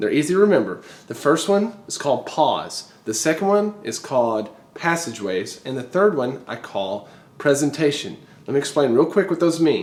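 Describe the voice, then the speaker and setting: A man's fairly high, animated voice with very wide pitch swings. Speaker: music teacher. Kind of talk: tutorial. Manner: fast.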